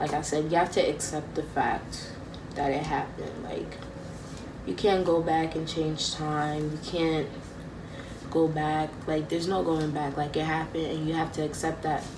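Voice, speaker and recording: A woman's very deep, low voice stays in a monotone, flat intonation amid audible room echo and noticeable background noise. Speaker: vlogger. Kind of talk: personal vlog talk. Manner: slow; halting.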